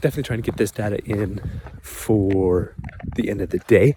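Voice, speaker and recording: A soft-spoken man at medium pitch, fairly quick, with ordinary pitch variation. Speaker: drone pilot YouTuber. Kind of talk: outdoor vlog narration. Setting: outdoors in winter, partly in car.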